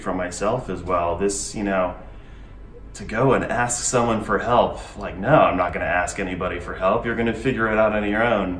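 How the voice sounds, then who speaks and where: With an American accent, a man speaks at a moderate pace in a fairly low pitch and fairly even intonation, with audible room echo and music in the background. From US (Florida, Navy family). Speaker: interview guest. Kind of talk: interview. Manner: halting, many fillers and repeats.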